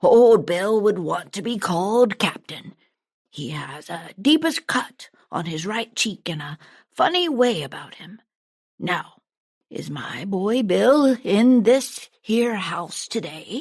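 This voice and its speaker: Someone puts on a character voice with a fairly high pitch, speaking at a fairly slow pace. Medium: read story. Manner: leering, sly.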